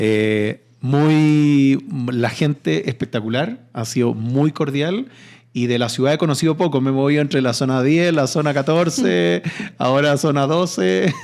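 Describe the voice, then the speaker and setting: A man with a Chilean accent at a fairly slow pace, fairly high in pitch, with lively intonation and very even loudness. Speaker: real estate company CEO, engineer. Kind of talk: podcast interview. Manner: hesitant, with fillers.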